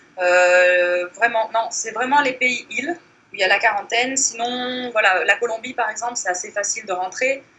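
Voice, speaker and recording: The speaker's pitch varies in an ordinary way at a moderate pace, with noticeable background noise. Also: woman. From Morocco. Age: 30s. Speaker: blogger. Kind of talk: interview.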